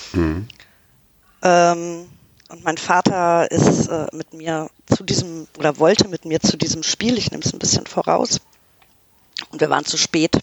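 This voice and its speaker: A woman talks at a fairly slow pace with long, frequent pauses, big swings in loudness and ordinary pitch variation. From Canada. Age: 40s. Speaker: football fan. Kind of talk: casual chat.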